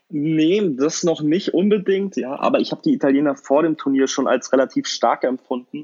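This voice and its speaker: A man with a normal speaking voice, ordinary pitch variation and a moderate pace. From northern Germany, Kiel. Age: 20s. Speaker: football fan podcast guest. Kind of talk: casual chat.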